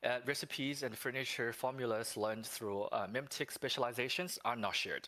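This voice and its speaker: Fairly quick and with hardly any pauses, a man delivers his words in a bright, sharp tone. His intonation stays fairly even. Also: medium pitch for a man. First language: non-English. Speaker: game developer representative. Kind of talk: livestream Q&A. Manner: reading from notes; halting.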